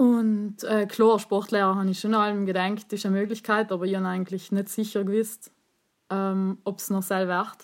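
A woman's medium-pitched voice at a fairly quick pace in a monotone, flat intonation, on a very clean recording with a silent background. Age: 30s. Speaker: teacher. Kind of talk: casual chat.

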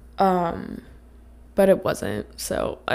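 This woman's raspy voice has a fairly low pitch, a slightly mellow tone, vocal fry and lively intonation.

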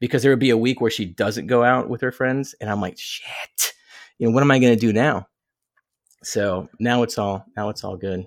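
An unremarkable speaking voice from a man, medium in pitch with ordinary variation and a moderate pace, on a very clean recording with a silent background and a dry, close sound with no echo. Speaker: podcaster. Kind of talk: casual chat.

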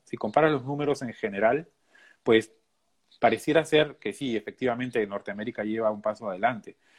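In an ordinary speaking voice, a man talks with ordinary pitch variation. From Peru. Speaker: animal nutritionist and graduate student. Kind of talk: interview.

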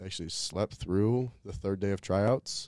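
This man has a fairly low pitch and an unremarkable speaking voice. He talks at a moderate pace over a quiet background. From Colorado. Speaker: college mascot performer. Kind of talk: casual chat.

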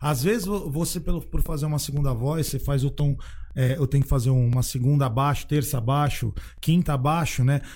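Somewhat breathy and fairly high-pitched, a man talks at a moderate pace with ordinary pitch variation and very even loudness. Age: 40s. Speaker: singer. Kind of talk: casual chat.

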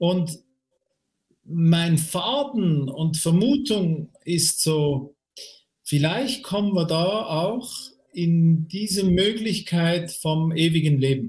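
Speaking at a very slow pace with long, frequent pauses, a man with a high pitch uses lively intonation. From Switzerland. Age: 50s. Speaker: career coach. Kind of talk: interview about a near-death experience. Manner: halting.

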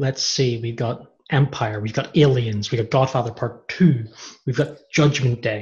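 Somewhat breathy, a man's voice keeps fairly even intonation. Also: medium pitch for a man, fairly slow pace. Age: 30s. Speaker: podcast host. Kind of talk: casual chat.

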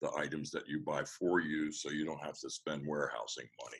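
A man speaks with a Mid-Atlantic American accent. His pace is moderate. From US, Washington D.C. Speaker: business coach. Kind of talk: interview.

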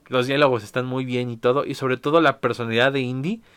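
Very fast in pace, a man with a medium pitch is heard in a very clean recording with a silent background. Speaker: podcast host. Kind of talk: casual monologue.

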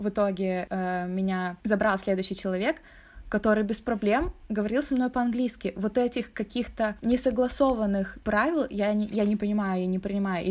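In a very clean recording with a silent background, a woman with a plain, everyday voice speaks at a medium pitch with ordinary pitch variation. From Russia. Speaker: podcast co-host. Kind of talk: casual chat.

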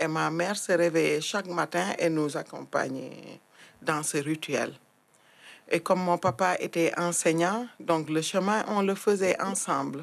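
A woman with a fairly low voice and vocal fry speaks at a very slow pace with very even loudness. The recording is very clean, with a silent background. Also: ordinary pitch variation. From Senegal, Thiès. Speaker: community activist. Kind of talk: testimony.

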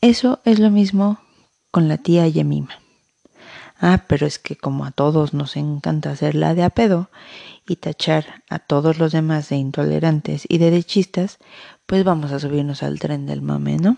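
The woman talks at a fairly slow speed. She has a Mexican accent. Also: dry, close sound with no echo. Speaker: podcast host. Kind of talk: opinion monologue. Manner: casual, sarcastic.

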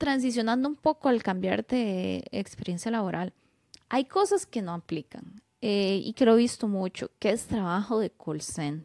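A woman speaks at a fairly slow pace with lively intonation and a dark, mellow tone. The sound is dry and close, with no echo. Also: medium pitch for a woman. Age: 30s. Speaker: podcast co-host, engineer. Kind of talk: casual chat.

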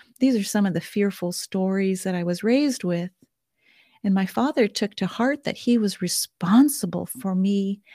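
A woman's somewhat breathy voice with a dark, mellow tone and an American accent, at medium pitch with ordinary pitch variation and a fairly slow pace, in a dry, close sound with no echo and a very clean recording with a silent background. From California. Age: 60s. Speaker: galactic astrologer. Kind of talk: interview conversation.

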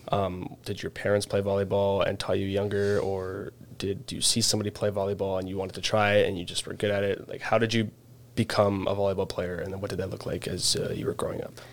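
A man with a Canadian accent, fairly low in pitch, very fast in pace, monotone and flat in intonation. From Canada. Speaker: student podcast host. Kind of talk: casual interview.

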